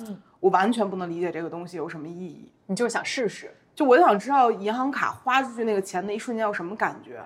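Barely pausing, a woman at a medium pitch races along at a very fast pace with lively intonation and big swings in loudness. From Beijing. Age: 30s. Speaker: content creator. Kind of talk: casual interview.

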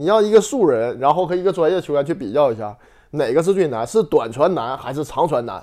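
A man's fairly high, dark and mellow voice at a very fast pace with very wide pitch swings, in a very clean recording with a silent background. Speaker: former footballer. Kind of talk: casual chat.

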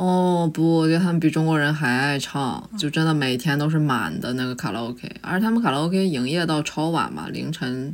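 Her pitch is very deep and low, with ordinary variation. The woman speaks at a moderate pace. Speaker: graduate student. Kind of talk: casual chat.

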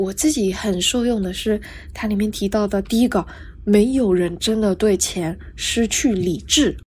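A soft-spoken woman, somewhat breathy, at medium pitch and a fairly slow pace. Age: 20s. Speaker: podcast host, freelance writer. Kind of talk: solo podcast monologue, casual. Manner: soft-spoken, quiet; clear careful enunciation.

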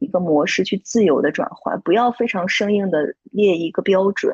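Somewhat breathy at a medium pitch, a woman talks at a moderate pace with ordinary pitch variation and a dry, close sound with no echo. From Shandong, China. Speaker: handmade plush toy brand founder and designer. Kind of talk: casual interview chat.

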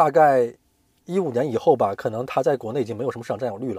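A man speaks on a very clean recording with a silent background and a dry, close sound with no echo. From Hainan, China. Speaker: corporate finance professional. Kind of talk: interview.

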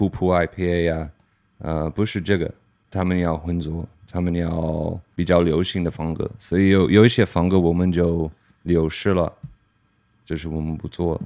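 In an English accent, a man speaks at a moderate pace with a very deep, low pitch, a dark, mellow tone and monotone, flat intonation. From Pennsylvania, US. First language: English (speaking Chinese). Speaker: brewer. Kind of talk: casual interview chat.

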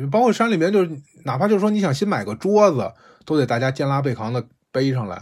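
Lively intonation marks this man's fairly quick speech. The recording is very clean, with a silent background. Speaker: podcast host recounting volunteer experience. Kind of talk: casual storytelling monologue. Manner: casual, digressive.

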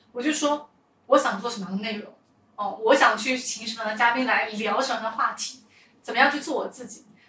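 A woman's normal speaking voice, fairly high in pitch, at a fairly quick pace with ordinary pitch variation. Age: 20s. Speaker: podcast host, entrepreneur. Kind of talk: casual interview chat.

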